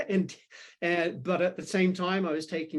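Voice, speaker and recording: Against a quiet background, a man with a New Zealand accent speaks at a high pitch. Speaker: philosophy professor. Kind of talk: podcast interview.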